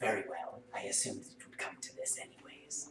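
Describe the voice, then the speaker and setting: Loud background noise, hissing and a slight echo surround a man doing a put-on character voice at a fairly quick pace. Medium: actual play. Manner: cool, calculating.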